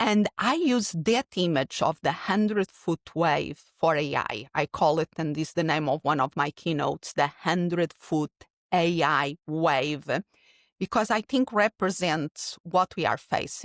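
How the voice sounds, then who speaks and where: A woman with a Portuguese accent talks at a fairly slow pace in a fairly low pitch, with lively intonation and very even loudness. The sound is dry and close with no echo, and the recording is very clean with a silent background. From Portugal. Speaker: keynote speaker and podcast host. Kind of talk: interview.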